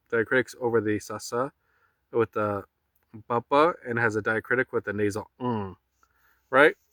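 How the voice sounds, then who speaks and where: A man's medium-pitched voice with a bright, sharp tone, fairly even intonation, a moderate pace and long, frequent pauses, in a dry, close sound with no echo and a very clean recording with a silent background. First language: not Punjabi. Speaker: spiritual teacher. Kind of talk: spiritual teaching talk. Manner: reflective, with fillers.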